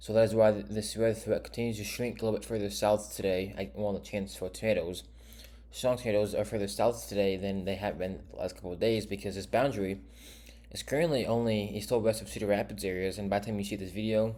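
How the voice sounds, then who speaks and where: A man's very fast speech, fairly low in pitch with ordinary variation, dark and mellow in tone with vocal fry. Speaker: weather forecaster. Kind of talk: weather forecast briefing. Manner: hesitant, with stumbles and repeats.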